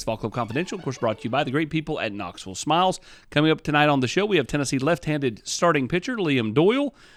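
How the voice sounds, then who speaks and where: Speaking at a very fast pace with lively intonation, a man with a fairly high pitch comes through on a very clean recording with a silent background. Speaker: podcast host. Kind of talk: show intro.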